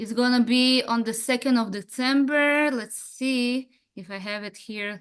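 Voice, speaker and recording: Against a quiet background, a woman talks at a fairly slow pace in a high pitch, her intonation fairly even but her loudness swinging widely. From Israel. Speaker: web series creator. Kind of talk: online panel discussion.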